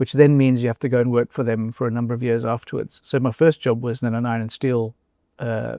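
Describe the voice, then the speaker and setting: A man talks very fast with a South African accent, his tone dark and mellow and his intonation flat and monotone. The sound is dry and close with no echo, and the background is quiet. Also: medium pitch for a man. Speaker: former company chief executive. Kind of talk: interview conversation. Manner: hesitant, with fillers and restarts.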